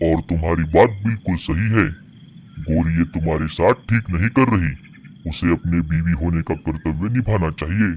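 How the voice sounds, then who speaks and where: A man puts on a cartoonish character voice with a very deep, low pitch. He speaks at a moderate pace over clear background noise. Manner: calm, generous, advising.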